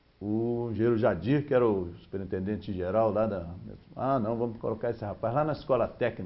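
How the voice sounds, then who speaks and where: The man's voice sits fairly low in pitch. He speaks at a moderate pace with ordinary pitch variation. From Brazil, Rio de Janeiro. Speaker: steel company executive, engineer. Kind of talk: TV interview.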